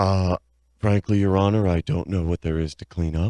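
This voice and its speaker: In a put-on character voice, a man talks at a moderate pace with a very deep, low pitch, the sound dry and close with no echo. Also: fairly even intonation, quiet background. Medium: comedy sketch. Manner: defensive, boastful.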